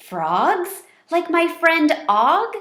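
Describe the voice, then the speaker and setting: A squeaky, put-on character voice from a woman, pitched extremely high. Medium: read story. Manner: chirpy, earnest.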